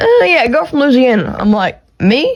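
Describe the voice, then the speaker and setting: This woman talks with a strong Texas accent. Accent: thick country Texas. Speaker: podcast host. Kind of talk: casual monologue. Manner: casual, rambling. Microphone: AirPods and iPhone recording.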